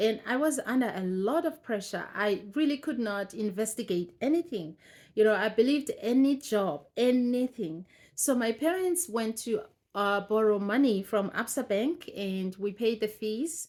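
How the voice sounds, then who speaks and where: With a South African accent, a woman talks at a moderate pace in a fairly high pitch with lively intonation. The recording is very clean, with a silent background. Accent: South African Xhosa-accented English. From South Africa, Eastern Cape. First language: Xhosa. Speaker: vlogger. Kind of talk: personal storytelling. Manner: halting.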